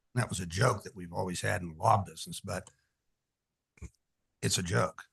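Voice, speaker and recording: Speaking at a fairly quick pace, a man with a very deep, low pitch, vocal fry, ordinary pitch variation and big swings in loudness. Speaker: commission applicant, attorney. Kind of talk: interview. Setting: meeting room, far from listener. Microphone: far from the mic.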